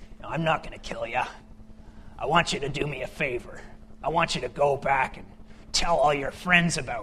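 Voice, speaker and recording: In a put-on character voice, a man talks at a fairly high pitch and moderate pace, with fairly even intonation and long, frequent pauses. His loudness swings a lot, and background noise is clearly heard. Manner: stern, menacing.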